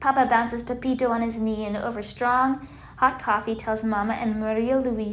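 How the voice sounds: Fairly even intonation in a natural reading voice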